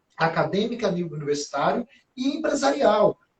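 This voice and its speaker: At a fairly quick pace, a man talks in a high pitch with very wide pitch swings. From Brazil, interior of Bahia (sertão, Conceição do Coité). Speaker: gerontologist. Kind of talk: conversational interview. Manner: frequent fillers and tag questions.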